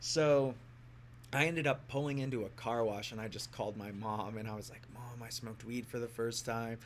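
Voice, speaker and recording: A man's plain, everyday voice at medium pitch, fairly even in intonation, fairly quick in pace, with big swings in loudness. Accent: American. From US Midwest, southern Illinois. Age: 30s. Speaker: musician. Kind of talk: casual chat.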